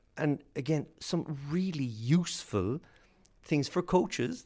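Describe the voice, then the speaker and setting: A man's fairly high voice, dark and mellow in tone, with very wide pitch swings and an Irish accent. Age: 40s. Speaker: sports scientist and lecturer. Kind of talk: interview.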